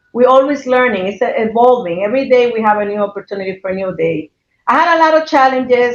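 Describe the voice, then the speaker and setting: A woman talks at a fairly quick pace. She has a non-native accent. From abroad, came to US as teenager. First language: not English. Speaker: hospital CEO. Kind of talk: podcast interview.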